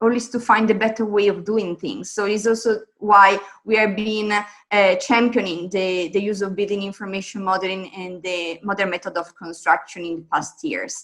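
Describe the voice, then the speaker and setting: Speech with an Italian accent flows with hardly any pauses. The intonation stays fairly even while the loudness swings widely. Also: woman, medium pitch for a woman, moderate pace. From Italy. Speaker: construction technology advisor. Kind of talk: conference presentation.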